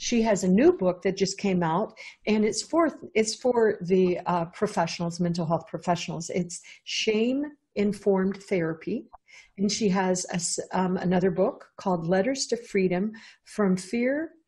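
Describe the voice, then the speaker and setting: A woman's dark, mellow voice, somewhat breathy, moves through ordinary pitch variation. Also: moderate pace. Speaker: podcast host. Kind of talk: show introduction. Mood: warm, enthusiastic. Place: home room. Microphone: earbuds.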